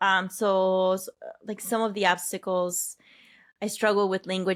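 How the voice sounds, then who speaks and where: A woman is speaking. She has a Spanish accent. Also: very clean recording, silent background. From Peru. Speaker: health and wellness coach. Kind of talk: podcast interview.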